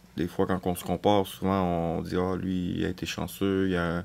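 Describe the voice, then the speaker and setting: A man speaks with a very deep, low pitch. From Quebec. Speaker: prison inmate. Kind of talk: testimony. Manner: halting.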